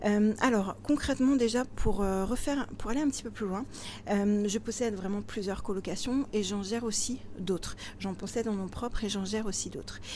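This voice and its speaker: Moderately paced female speech in a dark, mellow tone, medium in pitch with ordinary pitch variation. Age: 40s. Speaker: property investor and blogger. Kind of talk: interview. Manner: animated.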